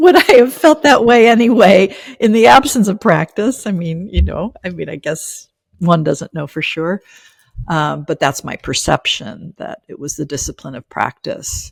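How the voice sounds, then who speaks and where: A woman at a medium pitch and moderate pace, with very wide pitch swings, big swings in loudness and vocal fry, in a dry, close sound with no echo. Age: 50s. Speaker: spiritual teacher. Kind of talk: interview conversation. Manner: halting, many fillers.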